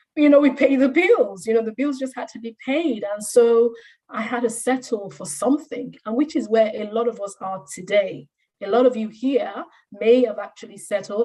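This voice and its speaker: Somewhat breathy and dark, mellow in tone, a woman speaks at a moderate pace with a fairly high pitch, ordinary pitch variation and big swings in loudness. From Nigeria. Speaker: career coach. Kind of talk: career talk testimony.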